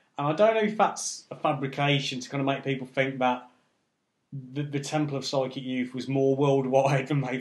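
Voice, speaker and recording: At a fairly quick pace, a man with a fairly high pitch talks with fairly even intonation. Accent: English. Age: 30s. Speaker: music event promoter. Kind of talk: casual chat.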